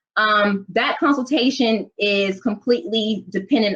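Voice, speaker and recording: The speaker is a woman. Her pitch is medium, with ordinary variation. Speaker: business attorney. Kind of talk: webinar presentation. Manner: fast.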